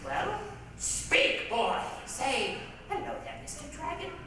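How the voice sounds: A woman's put-on character voice, high-pitched and slow, with very wide pitch swings and audible room echo.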